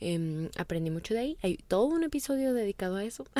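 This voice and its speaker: A woman's dark, mellow tone at a fairly quick pace, with lively intonation. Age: 20s. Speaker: podcast host. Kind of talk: personal monologue.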